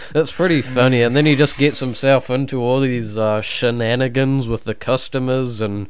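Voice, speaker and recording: In a New Zealand accent, a man with a medium pitch speaks at a moderate pace with fairly even intonation. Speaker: podcast guest, YouTuber. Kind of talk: casual chat.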